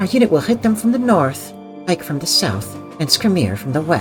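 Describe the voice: In a put-on character voice, a breathy, middle-pitched speaker moves at a fairly quick pace over clear background music.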